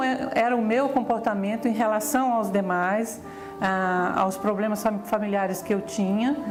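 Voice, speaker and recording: There is music in the background and audible room echo. A woman speaks with a fairly high pitch and ordinary pitch variation. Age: 60s. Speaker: teacher giving a testimonial. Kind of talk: testimony.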